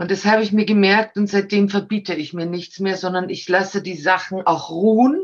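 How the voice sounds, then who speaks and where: The speaker is a woman with a moderate pace. Pauses are hardly present. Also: medium pitch for a woman. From Austria. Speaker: actress and talent agent. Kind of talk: casual interview. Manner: animated.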